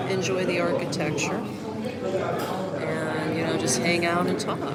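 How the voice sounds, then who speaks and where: This woman has a fairly low pitch and ordinary pitch variation. Noticeable background noise and audible room echo fill the recording. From US, Florida (Orlando). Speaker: vlogger, expat. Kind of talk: casual live stream chat. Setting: coffee shop, live stream. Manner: calm.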